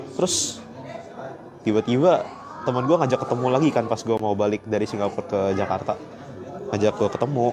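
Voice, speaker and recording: Over crowd noise in the background, someone with a Surabaya accent speaks at a fairly quick pace with long, frequent pauses and ordinary pitch variation. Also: man, medium pitch for a man. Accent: sounds Surabaya-like. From Palembang, Indonesia. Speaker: livestreamer, quiz show contestant. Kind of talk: casual chat. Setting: airport.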